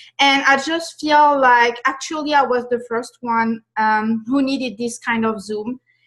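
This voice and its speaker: A woman's high-pitched voice with a French accent and fairly even intonation. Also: fairly slow pace. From France. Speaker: network marketing leader hosting a webinar. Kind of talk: video call webinar hosting. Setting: video call.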